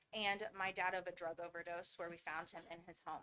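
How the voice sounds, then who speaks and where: A woman's voice with a bright, sharp tone. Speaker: founder of a medical training school. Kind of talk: personal testimony in a presentation. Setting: school board meeting. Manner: fast.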